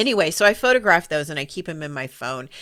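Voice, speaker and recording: On a very clean recording with a silent background, a woman's fairly low pitch can be heard. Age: 50s. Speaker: podcast co-host and business coach. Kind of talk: casual chat.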